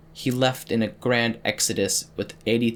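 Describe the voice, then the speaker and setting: Here a man is talking. His pitch is medium and his pace moderate. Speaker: audiobook narrator. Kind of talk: reading aloud. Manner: halting; monotone.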